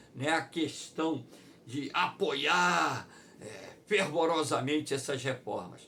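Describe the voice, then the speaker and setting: Audible room echo surrounds this voice. A man speaks at a fairly high pitch. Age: 60s. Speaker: geography teacher. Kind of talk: online lecture.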